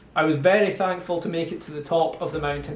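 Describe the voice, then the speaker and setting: With a Scottish accent, a man talks at a fairly quick pace and fairly high pitch, his intonation fairly even, with noticeable background noise and audible room echo. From Scotland (Montrose, Angus). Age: 30s. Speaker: amateur trail runner, vlogger. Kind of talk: scripted narration.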